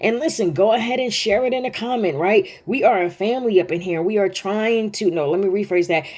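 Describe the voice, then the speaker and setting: Lively in intonation, a woman speaks at a moderate pace and fairly high pitch with hardly any pauses. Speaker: bible teacher. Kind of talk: devotional bible teaching. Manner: animated.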